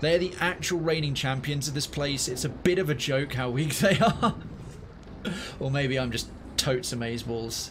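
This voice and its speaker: Noticeable background noise sits under the speech. The delivery has a moderate pace and ordinary pitch variation. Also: man, fairly high pitch for a man. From northwest England (Liverpool area). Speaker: video game streamer. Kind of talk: live gameplay commentary. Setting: live stream. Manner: casual, chatty.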